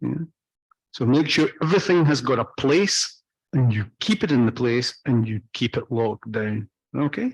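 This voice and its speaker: With a Scottish accent, a man speaks at a moderate pace and medium pitch, his intonation lively and the sound dry and close with no echo. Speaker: off-road driving instructor. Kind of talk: training lecture.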